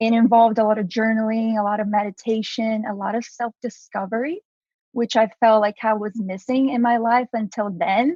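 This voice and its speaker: A fairly high-pitched, somewhat breathy woman speaks with a Brazilian Portuguese accent and fairly even intonation. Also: moderate pace. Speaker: entrepreneur, activewear founder. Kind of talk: podcast interview.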